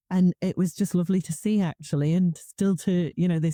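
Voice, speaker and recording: In a slight northeast English accent, a dark, mellow voice moves at a moderate pace with monotone, flat intonation, recorded very cleanly with a silent background and a dry, close sound with no echo. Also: woman. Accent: slight northeast English twang. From Newcastle, northeast England. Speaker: conference speaker. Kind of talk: casual interview chat.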